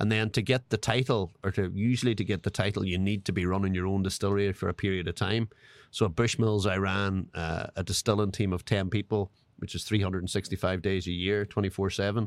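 Very fast and monotone with flat intonation, a man with an Irish accent and a fairly low pitch is heard on a very clean recording with a silent background, the sound dry and close with no echo. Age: 40s. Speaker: master distiller. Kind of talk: casual interview chat.

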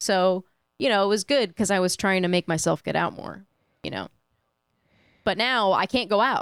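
A woman's medium-pitched voice at a moderate pace, with ordinary pitch variation, long and frequent pauses, and a dry, close sound with no echo. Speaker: streaming platform staffer. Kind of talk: casual chat. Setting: remote call.

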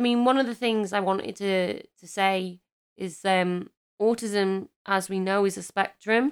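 A woman with an English accent speaks at a fairly slow pace in a medium pitch, her intonation fairly even but her loudness swinging widely. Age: 30s. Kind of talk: casual chat.

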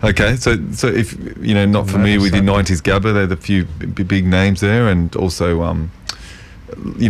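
A man talks at a moderate pace with a fairly low pitch. His intonation is fairly even, and there is noticeable background noise. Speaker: community radio co-host. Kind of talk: casual, conversational. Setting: radio studio.

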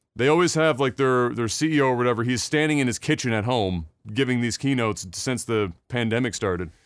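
A man's medium-pitched, fairly quick talk in a normal speaking voice with lively intonation, very clean recording, silent background. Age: 30s. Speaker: video game podcast host. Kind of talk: casual chat.

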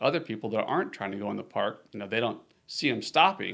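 With a Texan accent, a man talks at a fairly quick pace. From Texas, Austin. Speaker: park ranger. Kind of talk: casual interview. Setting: on location at the lake.

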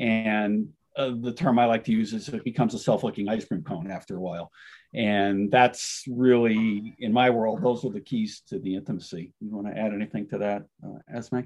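A man speaks at a moderate pace in an ordinary speaking voice, his fairly low pitch held in fairly even intonation against a quiet background. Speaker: author. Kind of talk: interview.

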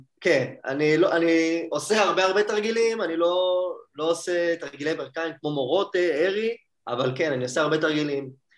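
A man at a high pitch with ordinary pitch variation, at a moderate pace. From Israel, Hadera. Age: 20s. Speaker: judo athlete. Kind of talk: interview.

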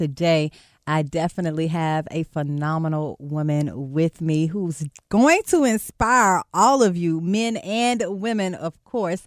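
In a very clean recording with a silent background and a dry, close sound with no echo, a woman with an American accent and an unremarkable speaking voice talks at a fairly slow pace, her fairly low pitch carrying lively intonation. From Texas. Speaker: podcast host. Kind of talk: interview.

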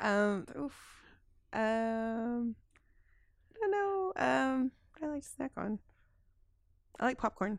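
This woman speaks at a very slow pace with long, frequent pauses. Her intonation is lively. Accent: American. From Texas. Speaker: community outreach coordinator. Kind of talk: casual interview. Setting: studio. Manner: halting.

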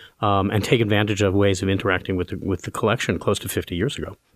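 A man with an American accent and a fairly low pitch talks at a very fast pace. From Brooklyn, New York. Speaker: art museum director. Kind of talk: interview.

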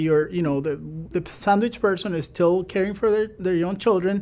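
Speaking with a Spanish accent, a man uses a high pitch for a man, ordinary pitch variation, and a fairly quick pace. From Venezuela. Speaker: fintech CEO. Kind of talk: radio interview. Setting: radio studio.

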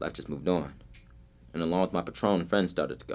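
A man's very deep, low voice with vocal fry, ordinary pitch variation and a fairly quick pace, on a very clean recording with a silent background. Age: 20s. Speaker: spoken word poet and dancer. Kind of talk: spoken word poetry performance; casual chat. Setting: studio.

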